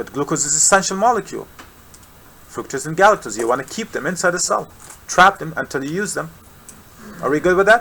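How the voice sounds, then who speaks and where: A man with a high-pitched voice speaks very fast with lively intonation, taking long, frequent pauses over noticeable background noise. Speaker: medical science tutor. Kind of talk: live tutoring lecture.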